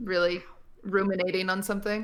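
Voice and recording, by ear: At a fairly quick pace, a woman speaks at medium pitch with little pitch movement.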